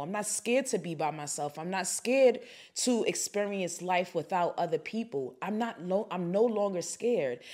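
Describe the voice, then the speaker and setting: In an animated tone, a woman speaks at a moderate pace, and the recording is very clean with a silent background. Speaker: podcast host, faith and self-help talk. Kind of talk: solo motivational podcast talk. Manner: animated, conversational with fillers.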